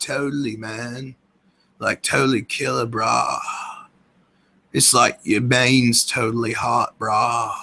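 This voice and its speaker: Using a put-on character voice, a man speaks raspy and at a very slow pace with a medium pitch. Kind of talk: casual surfer slang. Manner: laid-back.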